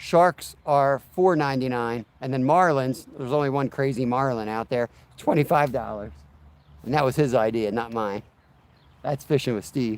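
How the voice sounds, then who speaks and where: The speaker is a man with a plain, everyday voice. He keeps a moderate pace and a medium pitch that varies in an ordinary way. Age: 40s. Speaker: fishing livestreamer. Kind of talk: casual livestream chat. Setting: outdoors. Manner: relaxed.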